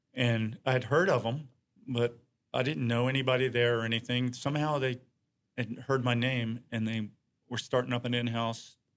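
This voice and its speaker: In an American accent, a man talks at a moderate pace and medium pitch with fairly even intonation. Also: long, frequent pauses. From Norfolk, Virginia. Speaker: photographer. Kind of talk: casual interview chat.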